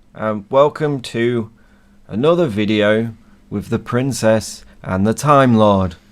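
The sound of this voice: A slow, croaky male voice, fairly low-pitched, with ordinary pitch variation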